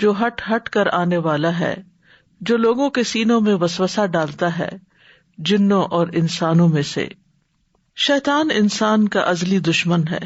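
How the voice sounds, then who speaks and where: Her voice is somewhat breathy and medium in pitch. This woman uses lively intonation. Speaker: Islamic scholar. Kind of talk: Islamic religious lecture.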